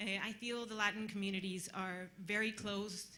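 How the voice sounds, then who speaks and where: Her intonation fairly even, a woman speaks against noticeable background noise. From Costa Rica. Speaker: audience member asking a question. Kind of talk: audience question at a panel.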